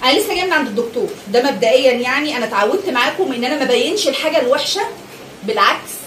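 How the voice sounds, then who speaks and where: Loud and with lively intonation, a woman in an Egyptian accent talks at a moderate pace amid noticeable background noise and audible room echo. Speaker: family vlogger. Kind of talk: emotional vlog rant. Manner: agitated.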